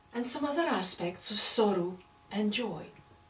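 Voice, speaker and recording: A woman in a Scottish accent at a fairly slow pace, with very wide pitch swings and noticeable background noise. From Scotland. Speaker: storyteller. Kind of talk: oral storytelling performance.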